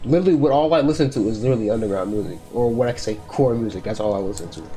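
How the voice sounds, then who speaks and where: Music plays in the background as a man talks at a very fast pace. His pitch is medium and his intonation lively. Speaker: music artist. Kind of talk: casual chat.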